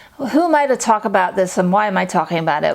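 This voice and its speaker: With a slight English accent, a woman talks very fast, her pitch swinging very widely against noticeable background noise. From England, London. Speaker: freelance medical writer. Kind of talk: casual talk to camera.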